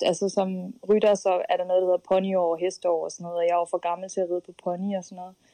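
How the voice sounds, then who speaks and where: A woman speaks at a fairly quick pace in a medium pitch. Her tone is dark and mellow, her intonation flat and monotone. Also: dry, close sound with no echo. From Denmark, Skive (Jutland). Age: 20s. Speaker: elite runner and student. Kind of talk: interview. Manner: hesitant, many fillers.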